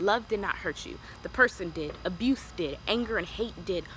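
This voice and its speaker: A woman's animated, medium-pitched voice with an American accent and lively intonation, over noticeable background noise. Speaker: lifestyle vlogger. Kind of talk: advice vlog.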